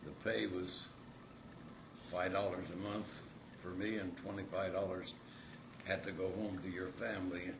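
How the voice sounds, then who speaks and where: A man speaks at a very deep, low pitch and a fairly slow pace, with fairly even intonation and long, frequent pauses. The recording has audible room echo and noticeable background noise. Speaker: grandfather recalling the CCC camps. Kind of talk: oral history interview.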